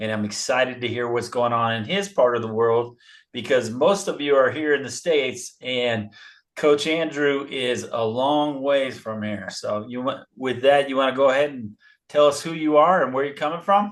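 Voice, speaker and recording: At a moderate pace, a man talks in an unremarkable speaking voice of medium pitch, with ordinary pitch variation. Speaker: baseball coach, podcast host. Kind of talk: podcast interview host.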